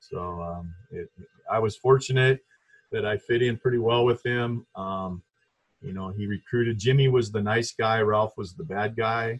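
A man with a medium pitch and ordinary pitch variation talks at a moderate pace, somewhat breathy, with big swings in loudness, in a dry, close sound with no echo. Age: 50s. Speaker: former college basketball player. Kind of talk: casual interview. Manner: halting.

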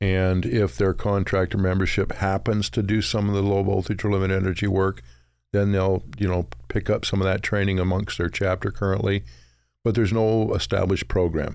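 A man's very deep, low voice with an American accent, fairly quick, with ordinary pitch variation and very even loudness, on a very clean recording with a silent background. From Utah. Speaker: low-voltage contractor and electrical instructor. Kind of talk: casual interview.

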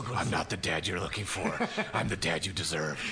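Loud background noise runs throughout. A man talks at a fairly quick pace in a put-on character voice. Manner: gruff, dramatic.

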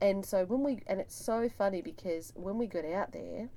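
A woman speaks with an Australian accent in a dark, mellow tone. Her intonation is lively. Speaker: podcast host, doctor. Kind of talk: scripted intro; casual chat.

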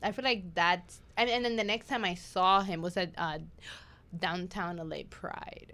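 A woman talks at a fairly slow pace with a medium pitch and ordinary pitch variation. Her tone is bright and sharp. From New York. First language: not English. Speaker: podcast host. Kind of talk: casual chat. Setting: studio.

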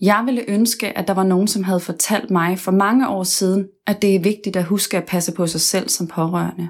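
Using a normal speaking voice, a woman with a medium pitch talks at a moderate pace with hardly any pauses. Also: fairly even intonation, very clean recording, silent background. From West Jutland, Denmark. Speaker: podcast host. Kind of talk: personal narration.

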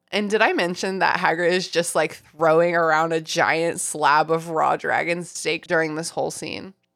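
Fairly low in pitch, a woman with an ordinary speaking voice talks at a moderate pace with fairly even intonation. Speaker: podcast host.

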